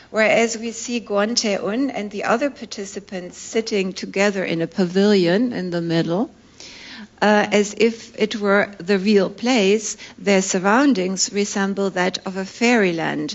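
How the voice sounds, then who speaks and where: A woman with a medium-pitched voice talks fairly slowly, varying her pitch in an ordinary way. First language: not English. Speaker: professor. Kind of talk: lecture. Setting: conference with audience.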